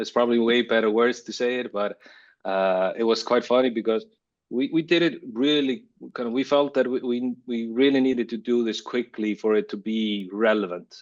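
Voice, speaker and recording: A man speaks with an Icelandic accent and ordinary pitch variation. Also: medium pitch for a man, moderate pace. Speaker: creative director. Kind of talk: interview. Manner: halting.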